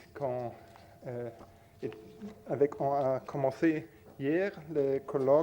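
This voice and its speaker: This man has a fairly high pitch and a non-native accent, speaking very slowly with lively intonation. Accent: non-native French speaker. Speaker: academic panel moderator. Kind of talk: conference moderation. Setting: conference with audience. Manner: halting, many hesitations.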